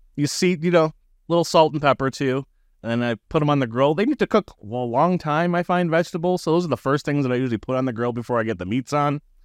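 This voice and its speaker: A man rattles along at a very fast pace in an animated tone with lively intonation. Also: fairly high pitch for a man, dry, close sound with no echo, quiet background. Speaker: podcast host. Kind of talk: casual chat. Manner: animated, joking.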